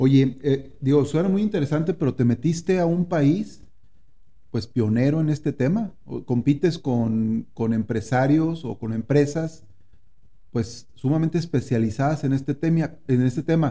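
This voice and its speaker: A man's somewhat breathy, dark, mellow voice at a fairly high pitch, with ordinary pitch variation and a fairly slow pace. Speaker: podcast host. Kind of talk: interview. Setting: on location in San Antonio.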